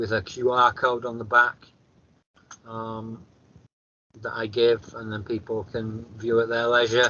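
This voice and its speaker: A man with a northern English accent at a fairly slow pace, medium pitch and monotone, flat intonation, with long, frequent pauses. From northern England. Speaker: author and near-death experiencer. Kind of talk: interview testimony. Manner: consciously slowed speech; halting, repeats words.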